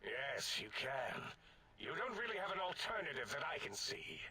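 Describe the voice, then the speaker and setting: Over clear background noise, a man puts on a pompous character voice and speaks at a moderate pace. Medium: video game. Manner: pompous, condescending.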